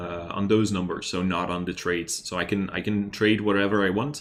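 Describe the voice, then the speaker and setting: In a fairly low pitch, a man speaks at a moderate pace with a slight Dutch accent. His intonation stays monotone and flat. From Netherlands. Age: 30s. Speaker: stock investing youtuber. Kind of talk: livestream chat and research. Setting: live stream. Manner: hesitant, many fillers.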